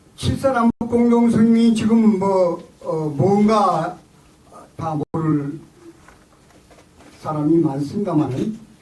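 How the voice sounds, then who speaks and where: Very slow speech with lively intonation and long, frequent pauses, plus audible room echo and noticeable background noise. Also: man, high pitch for a man. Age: 70s. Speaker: lecturer, former intelligence official. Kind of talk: lecture. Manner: halting, many fillers.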